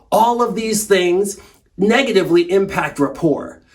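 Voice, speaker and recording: Over noticeable background noise, a man talks in a high pitch with an animated tone and lively intonation. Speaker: sales trainer. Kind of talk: tutorial. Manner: fast.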